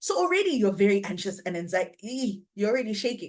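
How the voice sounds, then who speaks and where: At a medium pitch, a woman speaks in an animated tone with ordinary pitch variation. Her pace is very fast. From Cameroon. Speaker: public speaking coach. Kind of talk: workshop talk.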